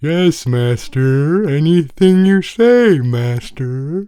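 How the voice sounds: In a put-on character voice, a man speaks at a very slow pace. His pitch sits fairly high.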